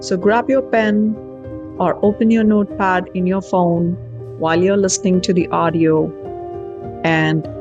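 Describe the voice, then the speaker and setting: A woman speaks fairly slowly with very even loudness and long, frequent pauses while music plays in the background. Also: medium pitch for a woman, ordinary pitch variation. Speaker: NLP life coach and writer. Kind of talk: self-help talk show monologue.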